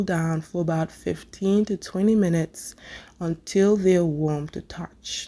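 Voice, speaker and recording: A woman's dark, mellow voice at medium pitch, with ordinary pitch variation. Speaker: cooking channel host. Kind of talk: tutorial.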